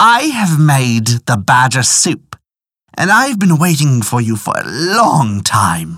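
This put-on character voice moves slowly, with big pitch swings and a fairly bright tone.

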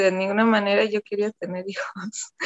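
A woman speaks at medium pitch. Her intonation is flat and monotone. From Germany, Cologne. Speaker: photographer and dancer. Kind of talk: personal storytelling interview.

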